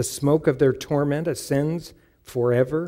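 Over a quiet background, a man speaks at a fairly slow pace with a dark, mellow tone and ordinary pitch variation. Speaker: pastor. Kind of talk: sermon. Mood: solemn, measured. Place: church. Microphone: headset.

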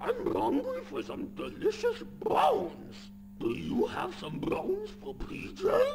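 A man's put-on character voice at a fairly slow pace against clear background noise. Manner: creepy, playful.

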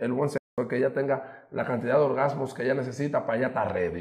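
A man with a Dominican accent, an animated tone, medium pitch, and a fairly quick pace, against a quiet background. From Dominican Republic. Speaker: radio host and social media personality; interview guest. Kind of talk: casual chat. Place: studio.

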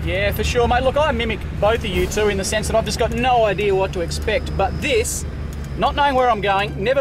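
A man's fairly quick speech over clear music in the background, dry with no echo. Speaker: 4WD show host. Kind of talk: casual radio chat and commentary. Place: car.

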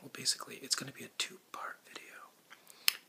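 A whispered voice. It moves at a moderate pace. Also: man. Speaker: ASMR creator. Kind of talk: relaxation presentation. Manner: whispered, soft-spoken. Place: home room. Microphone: webcam.

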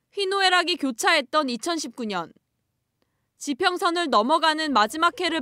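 Raised and projected, a woman's extremely high voice moves at a fairly slow pace with lively intonation. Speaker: news reporter. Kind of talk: scripted narration. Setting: outdoors.

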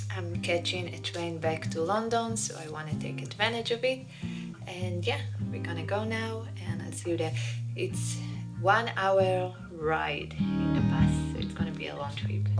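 A woman talks at a moderate pace while music plays clearly in the background. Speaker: travel vlogger. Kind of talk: casual vlog chat. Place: home room. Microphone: phone near.

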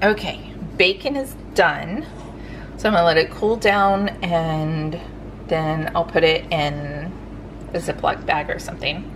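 A woman with a fairly low pitch and ordinary pitch variation speaks at a fairly slow pace with long, frequent pauses against noticeable background noise. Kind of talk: casual vlog chat. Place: home room. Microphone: phone near.

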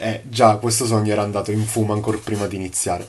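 A man talks at a fairly quick pace in a fairly low pitch, with light background noise. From Sicily, Palermo. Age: 20s. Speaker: course student, property manager. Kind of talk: testimonial. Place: home room. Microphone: phone near.

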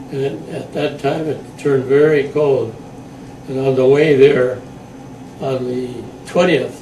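A man with fairly high pitch at a fairly slow pace, with light background noise and audible room echo. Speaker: WWII veteran. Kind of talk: oral history interview answer. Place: home room. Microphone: camera far.

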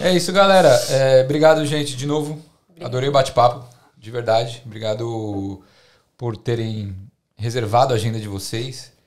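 A man speaks at a moderate pace in a medium pitch, with ordinary pitch variation and big swings in loudness. He leaves long, frequent pauses against a quiet background. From Brazil. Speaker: podcast host. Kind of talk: casual chat. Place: home room. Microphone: studio mic.

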